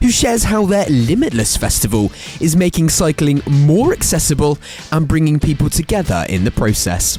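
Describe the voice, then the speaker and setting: The pitch swings very widely while the loudness stays very even. Music plays in the background. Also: man, fairly high pitch for a man, moderate pace. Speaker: radio presenter. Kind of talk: radio news show introduction.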